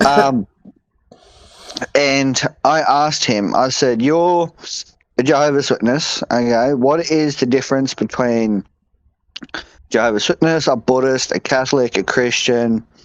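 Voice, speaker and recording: A man with an Australian accent and a medium pitch speaks fairly slowly, with long, frequent pauses and ordinary pitch variation. His loudness stays very even, and the sound is dry and close with no echo. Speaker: podcast co-host. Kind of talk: casual podcast chat. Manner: animated.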